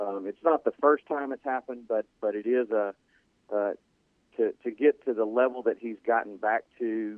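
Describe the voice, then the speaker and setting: Fairly even intonation and a moderate pace in a man's medium-pitched voice. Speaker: orthopedic doctor calling in. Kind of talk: radio call-in medical segment. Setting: phone hotline call. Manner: measured, hesitant with filler words.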